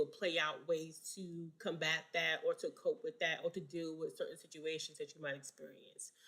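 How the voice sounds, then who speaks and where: A woman talks at a fairly quick pace. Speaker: counseling exam tutor. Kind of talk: live online study session.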